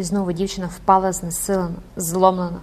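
This is a natural reading voice. It is heard throughout the clip.

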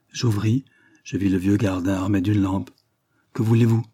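Someone is reading aloud in a natural voice, with fairly even intonation and a quiet background.

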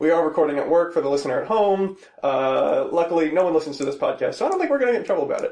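A man at a very fast pace amid noticeable background noise. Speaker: podcast host. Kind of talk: casual chat. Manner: rambling, joking.

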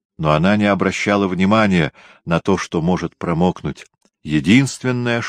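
A quiet backdrop behind plain reading aloud, its intonation lively.

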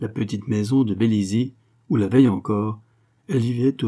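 What we hear is a natural reading voice.

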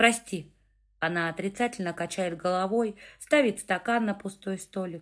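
This is reading aloud in a natural voice. Pitch variation is ordinary.

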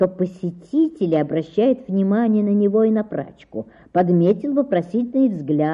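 The clip features a natural reading voice with lively intonation.

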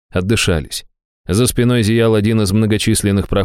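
The reading voice is unforced. Intonation stays fairly even over a quiet background.

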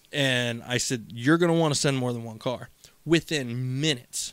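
Medium in pitch, a man uses a normal speaking voice at a moderate pace with fairly even intonation. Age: 30s. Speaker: podcast co-host. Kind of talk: casual chat.

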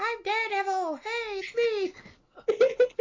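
The speaker uses a put-on character voice pitched extremely high. Every word comes out at a very slow pace. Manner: awkward, disguised.

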